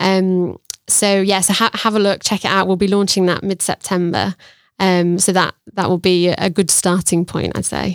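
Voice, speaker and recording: In a dry, close sound with no echo and a very clean recording over a silent background, a woman of medium pitch speaks at a moderate pace in a monotone, flat intonation with very even loudness. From Sheffield, northern England. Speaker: marketing lead at a tech hub. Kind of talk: podcast interview. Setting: studio.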